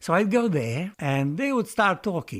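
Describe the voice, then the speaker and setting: The man's pitch swings very widely. The recording is very clean, with a silent background. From Romania, Transylvania. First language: Romanian. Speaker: retired lecturer in Italian. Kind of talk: interview answer.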